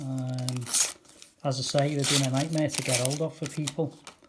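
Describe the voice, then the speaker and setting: Someone speaks at a moderate pace. The voice has a Liverpool accent. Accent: Liverpool (Scouse) English. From Merseyside, England. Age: 60s. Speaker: trading card and sticker seller. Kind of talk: casual unboxing video.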